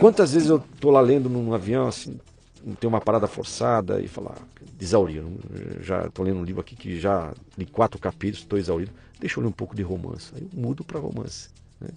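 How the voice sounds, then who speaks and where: Talking at a fairly quick pace with long, frequent pauses, a man with a fairly low pitch makes very wide pitch swings and big swings in loudness. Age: 50s. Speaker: marketing executive and business professor. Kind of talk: interview conversation.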